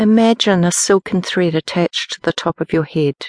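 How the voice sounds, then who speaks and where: A woman's plain, everyday voice at a medium pitch with fairly even intonation, over a quiet background. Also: dry, close sound with no echo. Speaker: meditation teacher and audiobook narrator. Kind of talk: guided meditation, slow step-by-step body-scan and breath-awareness instructions. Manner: slow, calm, unhurried pacing with pauses between instructions; gentle, soothing, softly directive.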